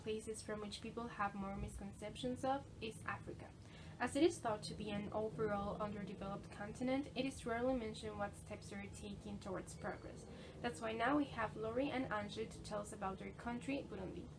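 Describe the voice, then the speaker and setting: Over noticeable background noise, a woman with a Spanish accent speaks fairly quickly in a fairly high pitch. Her pitch varies in an ordinary way, while her loudness swings widely. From Mexico. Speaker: video presenter. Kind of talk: scripted narration.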